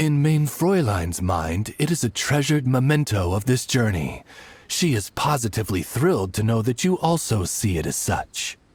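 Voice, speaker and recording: A man's put-on character voice at a medium pitch and moderate pace, with music in the background. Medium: video game. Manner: formal, courteous.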